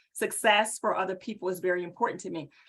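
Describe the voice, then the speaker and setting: This woman speaks with a Southern US accent. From US South, High Point, North Carolina. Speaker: executive presence strategist. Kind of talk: webinar presentation. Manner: animated.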